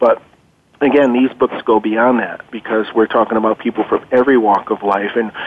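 Noticeable background noise surrounds a man talking at a moderate pace. His pitch is medium. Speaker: guest expert on reincarnation. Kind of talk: conversational interview, explaining research. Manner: hesitant, filler-laden, earnest.

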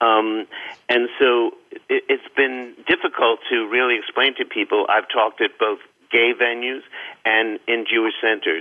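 A man speaks in a New York accent. His loudness stays very even throughout. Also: fairly slow pace. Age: 70s. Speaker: author and biographer. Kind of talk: radio interview.

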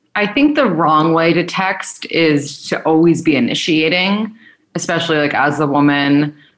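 A woman with a normal speaking voice talks at a moderate pace, her pitch fairly low and varying in an ordinary way. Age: 20s. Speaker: dating podcast host and matchmaker. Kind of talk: casual interview.

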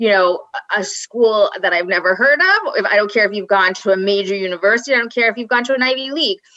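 A woman with a Long Island accent, fairly high-pitched and animated, talking very fast with ordinary pitch variation over noticeable background noise. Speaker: podcast guest, women's college alum. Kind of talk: casual chat.

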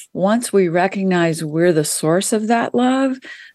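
A woman with a plain, everyday voice speaks at a fairly slow pace and medium pitch, with an American accent. The background is quiet. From US South. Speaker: spiritual author and numerologist. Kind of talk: interview. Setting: radio show.

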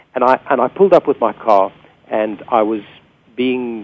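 A man's medium-pitched voice with a South African accent and a slightly husky edge

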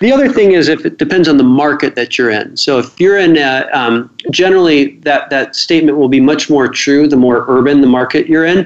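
A Midwestern American accent at a fairly quick pace, with very even loudness, hardly any pauses and ordinary pitch variation. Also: man, fairly high pitch for a man. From US Midwest, Cedar Rapids, Iowa. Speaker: financial planning expert and author. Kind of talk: radio interview.

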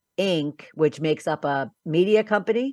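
An ordinary speaking voice, a woman with an American accent talks at a fairly slow pace with fairly low pitch and lively intonation, recorded dry and close with no echo over a quiet background. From Philadelphia, US. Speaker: business coach and podcast host. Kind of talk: interview.

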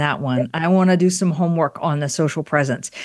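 On a very clean recording with a silent background, a woman with an ordinary speaking voice talks at a fairly quick pace and a fairly low pitch, her intonation lively. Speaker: podcast host. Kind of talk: interview conversation.

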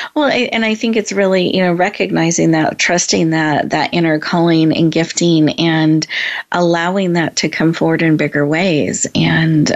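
A woman's fairly low voice at a moderate pace, with ordinary pitch variation and noticeable background noise. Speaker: talk show host. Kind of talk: inspirational talk show. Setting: virtual room, online call. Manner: warm and encouraging.

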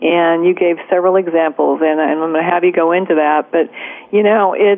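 Here is a woman with an unremarkable speaking voice, pitched fairly low with ordinary pitch variation. She keeps a moderate pace. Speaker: radio host. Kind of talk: radio interview.

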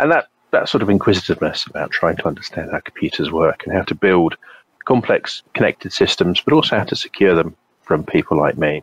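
In a British accent, a man talks at a very fast pace with a dry, close sound with no echo. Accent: English (British), obvious. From England. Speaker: cybersecurity consultant. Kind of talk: casual interview.

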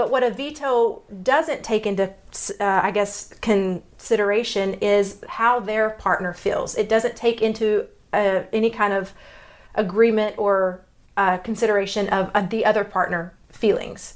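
Talking at a fairly slow pace in a Texas accent, a woman with a fairly high pitch keeps her loudness very even. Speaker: podcast host discussing relationships. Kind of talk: casual explanatory chat. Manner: halting, with fillers and self-corrections.

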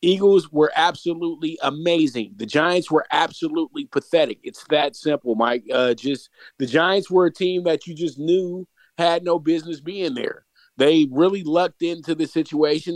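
This man has a normal speaking voice, fairly high in pitch with ordinary variation. He talks at a moderate pace in a dry, close sound with no echo. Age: 30s. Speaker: sports commentator. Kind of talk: casual chat.

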